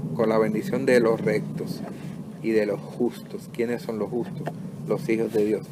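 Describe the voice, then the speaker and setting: With very wide pitch swings, a man of medium pitch speaks at a fairly slow pace. Audible room echo and noticeable background noise surround him. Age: 60s. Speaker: pastor. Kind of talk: sermon. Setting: home recording.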